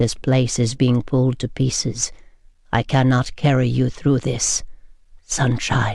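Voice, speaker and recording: A man speaks at a medium pitch. He uses a put-on character voice. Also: fairly slow pace. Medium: read story. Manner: formal, clipped.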